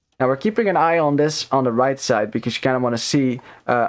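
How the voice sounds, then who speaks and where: A man with a non-native accent talks very fast at a medium pitch, his pitch varying in an ordinary way. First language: not English. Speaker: esports caster. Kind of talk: live commentary. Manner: casual, many fillers.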